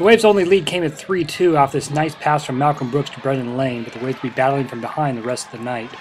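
The talking runs very fast while music plays underneath. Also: man. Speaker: sports commentator. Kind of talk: sports highlight recap narration, play-by-play. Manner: brisk, energetic, upbeat play-by-play delivery.

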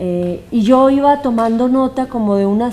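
A woman at a fairly slow pace with ordinary pitch variation, faint music in the background. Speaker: theatre actress or director. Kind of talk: interview answer. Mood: earnest, moved. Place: stage.

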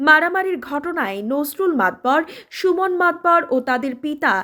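Bright and sharp in tone, a woman's high voice rises and falls with lively intonation in a very clean recording with a silent background. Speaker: news reporter. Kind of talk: news reading. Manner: formal.

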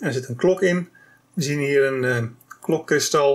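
A man at a moderate pace, against a quiet background. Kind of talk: tutorial. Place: workshop.

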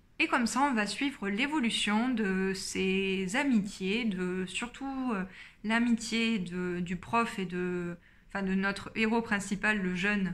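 Speaking at a very slow pace is a woman. Her pitch variation is ordinary. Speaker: book YouTuber. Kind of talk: casual book review vlog. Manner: many hesitations (euh). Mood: calm, engaged. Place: home room. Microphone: phone near.

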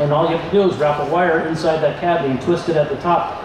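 A man speaks at a fast pace with a fairly high pitch and fairly even intonation. Clear background noise is present.

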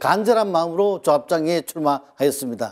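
A man's dark, mellow, high-pitched voice at a moderate pace, lively in intonation, over a quiet background. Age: 60s. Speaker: election candidate. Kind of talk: campaign speech. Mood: earnest, calm. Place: office.

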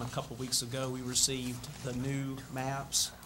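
With a Southern US accent, a man speaks at a medium pitch in a monotone, flat intonation against noticeable background noise. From US South. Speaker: city planner; presenter. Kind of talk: report to city board. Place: meeting room. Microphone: podium.

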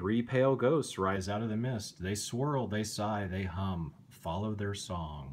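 A man with a fairly low voice talks in an animated, dramatic tone with ordinary pitch variation. His pace is fairly slow, with hardly any pauses. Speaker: bedtime story reader. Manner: slow, animated, dramatic pauses with suspenseful emphasis and gasping character voices; gentle, soothing, kid-friendly, coaxing the listener along. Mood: calm, gently spooky storytelling. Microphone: phone near.

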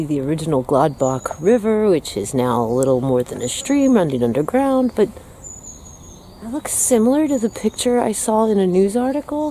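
Against light background noise, a woman speaks at a moderate pace with very wide pitch swings, in a dry sound with no echo. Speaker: vlogger exploring. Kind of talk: casual vlog chat. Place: forest. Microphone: phone near.

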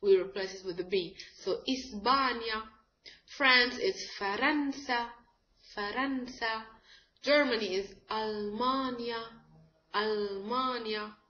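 In a room with audible echo, a woman speaks at a very slow pace with long, frequent pauses. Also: ordinary pitch variation. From Egypt. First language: Arabic. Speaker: language teacher. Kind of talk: tutorial. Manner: halting, many fillers. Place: home room. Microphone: webcam.

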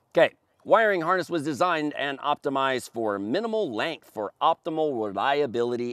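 Against a quiet background, a man's voice swings very widely in pitch, dry with no echo. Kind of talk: product presentation. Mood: confident, upbeat sales tone. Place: open country.

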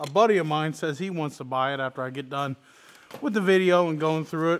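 A man keeps a moderate pace, his pitch varying in an ordinary way. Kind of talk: casual vlog chat. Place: garage.

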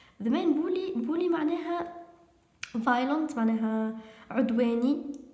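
Speaking in a Tunisian accent, a woman takes a fairly slow pace. Audible room echo surrounds her voice. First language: Tunisian Arabic (speaking Arabic). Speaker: English teacher. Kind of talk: lecture. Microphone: phone near.

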